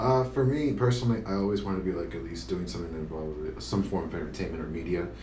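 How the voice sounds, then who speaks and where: A man's very deep, low voice in an American accent, very fast with hardly any pauses and very wide pitch swings, amid audible room echo and noticeable background noise. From Tampa, Florida. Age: 20s. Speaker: podcast co-host. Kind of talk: casual chat.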